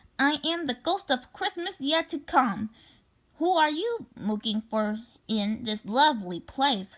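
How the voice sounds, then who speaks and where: Put-on character voice from a woman, fairly slow and high-pitched. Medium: read story.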